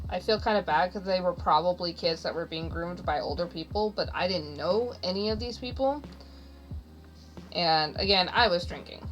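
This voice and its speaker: A woman at a moderate pace, music in the background. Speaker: streamer. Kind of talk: casual chat. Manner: loud.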